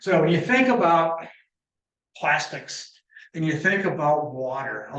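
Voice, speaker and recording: A man's fairly high voice is heard with audible room echo. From Michigan, US Midwest. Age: 70s. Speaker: environmental scientist speaker. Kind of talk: lecture.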